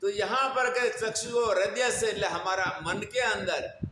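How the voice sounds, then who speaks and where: A man speaks at a high pitch in a raised, projected voice with ordinary pitch variation. Noticeable background noise runs underneath. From India, Gujarat (Banaskantha). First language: Gujarati (speaking Hindi). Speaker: spiritual preacher. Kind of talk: religious discourse (satsang).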